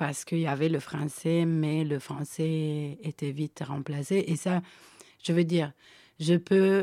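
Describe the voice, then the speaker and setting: A woman's very deep, low, dark and mellow voice, very slow with fairly even intonation, on a very clean recording with a silent background. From Switzerland, Guinean family. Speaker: storyteller. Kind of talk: casual chat.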